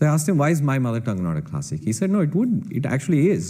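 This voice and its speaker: A man with a Kannada accent speaks in a dark, mellow tone, his pitch swinging very widely, with audible room echo. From India. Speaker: computer scientist and entrepreneur. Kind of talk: panel Q&A answer.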